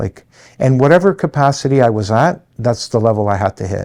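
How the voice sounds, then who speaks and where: In a very clean recording with a silent background, a man with a Canadian accent talks with ordinary pitch variation. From Canada, Toronto. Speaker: construction company president. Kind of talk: interview monologue. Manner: hesitant fillers.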